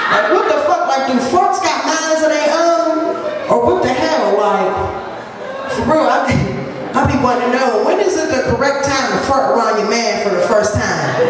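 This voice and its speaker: Over crowd noise and strong room echo, a woman with a high pitch speaks at a moderate pace. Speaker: stand-up comedian. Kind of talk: stand-up comedy routine. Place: bar.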